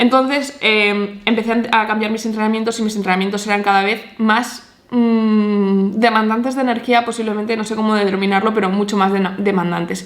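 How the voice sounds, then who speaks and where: A woman speaks fairly quickly at a fairly high pitch in an animated tone. There is audible room echo and noticeable background noise. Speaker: nutritionist and fitness vlogger. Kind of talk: personal testimony. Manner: fast.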